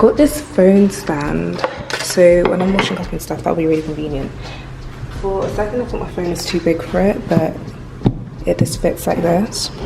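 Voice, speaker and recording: A woman speaks at a moderate pace in a fairly low voice, leaving long, frequent pauses, with noticeable background noise behind her. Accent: English. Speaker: vlogger. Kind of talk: casual vlog talk. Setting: at home in new flat.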